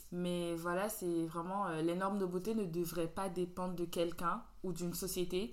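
A woman's fairly low voice in a monotone, flat intonation, very even in loudness, at a moderate pace, amid noticeable background noise. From Benin. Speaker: podcast host. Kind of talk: casual chat.

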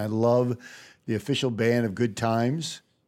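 A man with a plain, everyday voice talks at a moderate pace at medium pitch. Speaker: podcast host. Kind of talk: interview chat.

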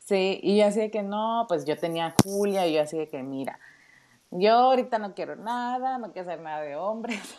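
At a moderate pace, the speaker uses lively intonation in a northern Mexican accent. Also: woman, medium pitch for a woman. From Mexico, Tijuana (northern border). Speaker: project manager and mother. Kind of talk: casual chat.

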